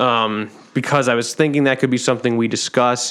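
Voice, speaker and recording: A man talks at a medium pitch with ordinary pitch variation. It is an unremarkable speaking voice. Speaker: podcast host. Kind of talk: casual chat.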